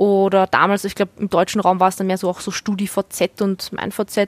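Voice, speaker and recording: Recorded with a dry, close sound and no echo, a woman speaks at a moderate pace and medium pitch. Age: 20s. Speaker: gamer and streamer. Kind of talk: casual chat.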